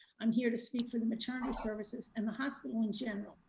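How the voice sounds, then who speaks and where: Very fast, somewhat breathy speech with a dark, mellow tone and fairly even intonation. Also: woman. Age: 70s. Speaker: resident speaking at public comment. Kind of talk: public comment.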